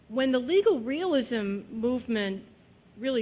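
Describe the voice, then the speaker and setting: Audible room echo carries a woman's voice as she speaks at a very slow pace. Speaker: judge. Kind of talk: lecture Q&A answer. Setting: lecture hall with audience.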